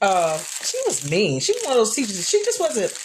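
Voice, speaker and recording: The voice is loud, with an animated tone. Its pitch swings very widely. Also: woman. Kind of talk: casual livestream chat. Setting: live video stream.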